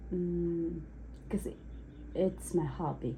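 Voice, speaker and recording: Her pace is fairly slow as a woman talks. The room echo is audible. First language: Uzbek. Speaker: cake decorator taking a mock speaking test. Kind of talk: mock language exam answers. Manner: halting.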